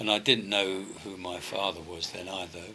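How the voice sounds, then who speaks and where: A man talks with a London accent at a fairly low pitch. Background noise is noticeable. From London (West Hampstead), England. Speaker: retired rock and roll singer. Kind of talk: interview.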